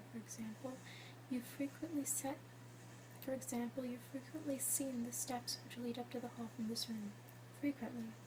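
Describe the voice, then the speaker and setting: There is noticeable noise in the background. The speaker keeps a moderate speed. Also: woman. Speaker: ASMR artist. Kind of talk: ASMR whispered reading of a classic story. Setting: binaural recording with basic home equipment.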